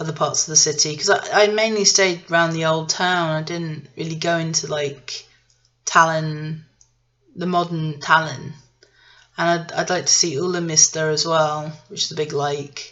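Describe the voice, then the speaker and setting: With an English accent, a woman speaks in a very deep, low pitch at a moderate pace, her intonation monotone and flat and her loudness swinging widely. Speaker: vlogger. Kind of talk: casual travel vlog monologue. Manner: hesitant, many fillers and restarts.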